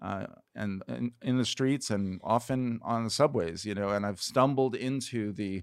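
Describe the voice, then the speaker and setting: This man has an unremarkable speaking voice with an American accent, a fairly low pitch and fairly even intonation. He speaks at a moderate pace on a very clean recording with a silent background. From New York City (Queens). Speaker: pastor / evangelism teacher. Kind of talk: casual chat.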